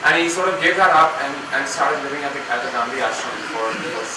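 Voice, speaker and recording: A man talks fairly quickly, his voice echoing audibly in the room while noticeable background noise sits behind him. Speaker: event host. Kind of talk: speaker introduction. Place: hall.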